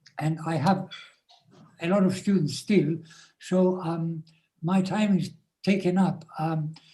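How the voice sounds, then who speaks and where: A man's high, dark and mellow voice, very slow and monotone, flat, broken by long, frequent pauses. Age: 80s+. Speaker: Vedic scholar. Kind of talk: Q&A answers in online seminar. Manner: hesitant, many fillers.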